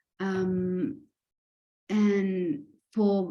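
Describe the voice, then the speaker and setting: A woman speaks in a flat monotone, her dark, mellow tone somewhat breathy. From Greece. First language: Greek. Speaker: self-love coach and healer. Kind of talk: podcast interview.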